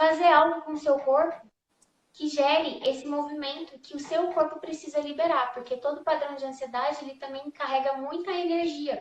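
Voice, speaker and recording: A high-pitched woman speaks at a moderate pace in a monotone, flat intonation, with big swings in loudness. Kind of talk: online live discussion.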